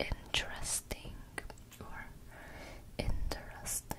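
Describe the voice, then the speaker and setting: The woman speaks in a whisper. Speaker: ASMR content creator. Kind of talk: ASMR trigger word whispering. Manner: whispered. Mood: playful, relaxed. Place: home room. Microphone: studio mic.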